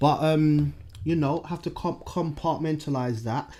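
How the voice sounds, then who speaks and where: A man speaks at a moderate pace with a London accent and a dark, mellow tone. The recording is very clean, with a silent background. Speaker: podcast host. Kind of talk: casual chat. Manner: frequent fillers, says like a lot.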